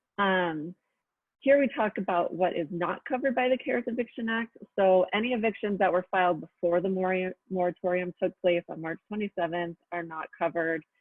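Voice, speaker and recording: In an unremarkable speaking voice, a woman talks fairly quickly at a medium pitch with ordinary pitch variation. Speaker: housing policy presenter. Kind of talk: webinar presentation. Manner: many filler ums.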